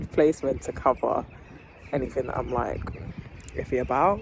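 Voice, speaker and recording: A woman with a British accent, very deep and low in pitch, with fairly even intonation. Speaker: vlogger. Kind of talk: casual vlog chat. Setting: at home. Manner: rambling, casual.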